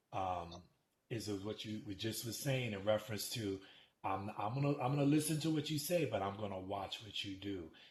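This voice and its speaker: A man talks in a plain, everyday voice at a fairly low pitch and moderate pace with ordinary pitch variation. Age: 60s. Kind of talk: casual chat.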